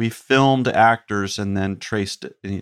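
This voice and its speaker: A man with an American accent and an unremarkable speaking voice, fairly low in pitch with fairly even intonation, dry and close with no echo on a very clean recording with a silent background. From US South, North Carolina (Chapel Hill). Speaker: comedian and TV writer. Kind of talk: casual chat.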